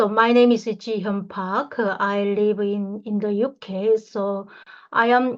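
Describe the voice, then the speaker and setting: A woman speaks with a Korean accent. Her pace is fairly slow. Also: quiet background. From North Korea. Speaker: human rights activist. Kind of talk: online lecture. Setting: online session. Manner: halting.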